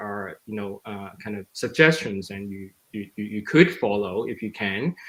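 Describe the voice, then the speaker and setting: A man at a moderate pace. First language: not English. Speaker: exhibit designer, panelist; panelist. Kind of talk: panel discussion. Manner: halting, many fillers. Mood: relaxed, storytelling. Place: home room. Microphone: video call.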